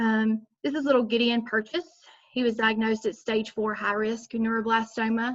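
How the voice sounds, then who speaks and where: Somewhat breathy and at a fairly high pitch, a woman talks at a moderate pace with monotone, flat intonation. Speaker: nursing student. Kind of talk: class presentation. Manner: halting, many fillers.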